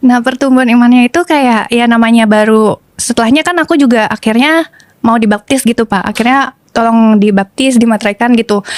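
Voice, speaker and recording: This woman talks at a fairly quick pace with hardly any pauses and very even loudness. Her pitch is fairly high with ordinary variation, and the sound is dry and close with no echo. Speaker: TV presenter. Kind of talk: testimony. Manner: casual, hesitant with fillers.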